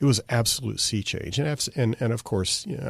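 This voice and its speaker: A man's lively intonation at a fairly quick pace. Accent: American. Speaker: podcast host. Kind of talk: casual podcast talk. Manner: unscripted, hesitant with fillers.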